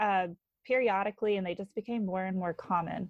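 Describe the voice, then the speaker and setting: In an American accent, a woman uses a normal speaking voice at medium pitch. Her intonation stays fairly even. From North Carolina. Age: 20s. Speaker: stay-at-home mom. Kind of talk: casual interview.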